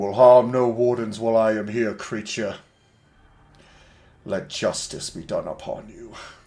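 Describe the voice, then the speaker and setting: A man puts on a booming, raspy character voice at medium pitch. He keeps a moderate pace with long, frequent pauses. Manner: commanding, grand.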